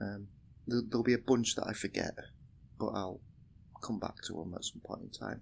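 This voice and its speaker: Here is a man with a British accent. His pitch is medium and his intonation fairly even. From UK. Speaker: indie game developer. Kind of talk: game demo walkthrough. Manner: casual, many fillers.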